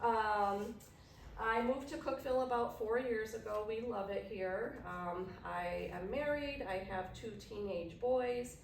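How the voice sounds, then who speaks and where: Amid audible room echo and noticeable background noise, a woman with a strong Chicago accent speaks fairly slowly at a fairly high pitch with ordinary pitch variation. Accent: heavy Chicago. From Chicago, Illinois. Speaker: nurse practitioner and diabetes educator. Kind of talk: educational workshop presentation.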